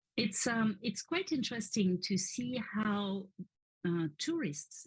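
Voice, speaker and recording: A woman with a French accent and a medium pitch speaks at a very slow pace in a somewhat breathy voice, with lively intonation and very even loudness. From France, Paris area. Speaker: French teacher. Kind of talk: interview workshop.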